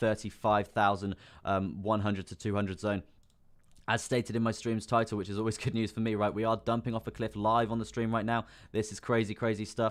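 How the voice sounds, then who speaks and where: Flat and monotone, a man's fairly low voice moves at a fairly quick pace. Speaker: crypto trading streamer. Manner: fast talker.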